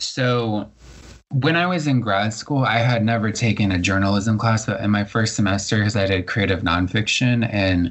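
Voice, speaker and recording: In a plain, everyday voice, a man with an American accent talks at a moderate pace, fairly low in pitch, with ordinary pitch variation and very even loudness. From Florida, Largo in Pinellas County. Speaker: poet and journalist. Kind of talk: interview conversation. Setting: podcast interview.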